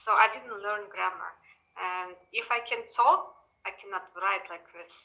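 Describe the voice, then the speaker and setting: In a strong Russian accent, a woman speaks at a fairly slow pace with a medium pitch and fairly even intonation. Her tone is bright and sharp, and her loudness swings widely. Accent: thick Russian. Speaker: language student. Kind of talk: English lesson, conversation practice.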